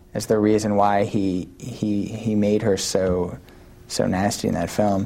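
A man with an American accent speaks at a fairly low pitch over noticeable background noise. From New York City. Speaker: author and editor. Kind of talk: interview.

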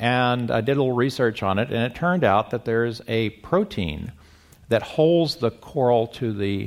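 Here a man has an unremarkable speaking voice at medium pitch. He speaks with lively intonation. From US Midwest. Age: 60s. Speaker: scientist and self-tracking pioneer. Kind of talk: panel conversation.

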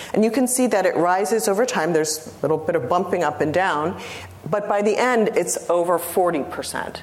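With lively intonation, a woman talks at a moderate pace over noticeable background noise. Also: medium pitch for a woman. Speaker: lecturer. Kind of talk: academic lecture response. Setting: lecture hall with audience.

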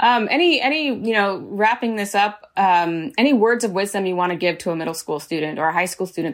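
A plain, everyday voice with an American accent moves at a fairly quick pace. The intonation is lively, with hardly any pauses. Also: woman. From San Diego, California. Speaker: podcast host. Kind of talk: interview.

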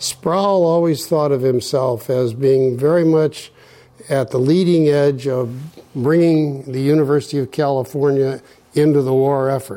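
Fairly high in pitch with fairly even intonation, this man has a normal speaking voice. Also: fairly slow pace. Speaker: interviewer, former university chancellor. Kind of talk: interview. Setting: at guest's home.

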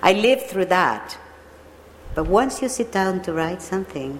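A woman speaks with a Spanish accent. Noticeable background noise can be heard. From Mexico, Veracruz. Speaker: mystery novelist. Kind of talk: panel discussion.

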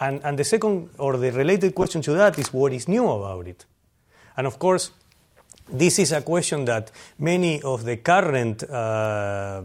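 With a Spanish accent, a man speaks at a moderate pace using lively intonation. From Argentina. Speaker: historian. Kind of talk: lecture.

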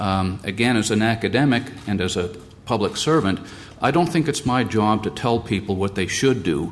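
A man speaks in an unremarkable speaking voice at medium pitch. He keeps a moderate pace with lively intonation. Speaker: scientist. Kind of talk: panel discussion.

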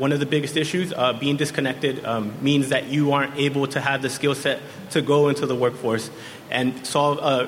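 Noticeable background noise and audible room echo accompany a man who speaks at a moderate pace with a fairly high pitch, fairly even intonation and very even loudness. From San Diego. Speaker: youth council member. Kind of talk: prepared speech. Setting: stage with audience.

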